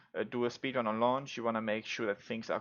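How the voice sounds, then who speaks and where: A man with a non-native accent speaks at a fairly low pitch. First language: not English. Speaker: gaming YouTuber, speedrunner. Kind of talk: gameplay tutorial commentary. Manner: casual, many fillers.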